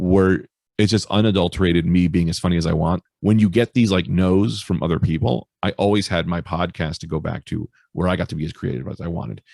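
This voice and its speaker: At a fairly quick pace, a man speaks with a very deep, low pitch, ordinary pitch variation and vocal fry, on a very clean recording with a silent background. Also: dry, close sound with no echo. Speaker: stand-up comedian. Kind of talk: casual chat. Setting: podcast interview. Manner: loud; animated.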